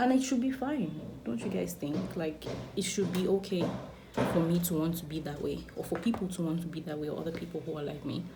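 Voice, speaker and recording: Lively intonation at a fairly quick pace, over noticeable background noise and audible room echo. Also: woman, fairly low pitch for a woman. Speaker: beauty vlogger. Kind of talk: casual chat.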